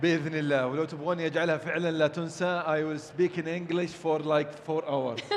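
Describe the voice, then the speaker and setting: A man's fairly high voice in a strong Saudi accent, monotone and flat, with hardly any pauses, audible room echo and noticeable background noise. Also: moderate pace. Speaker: event host. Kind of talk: live event hosting, casual banter. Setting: stage at live event.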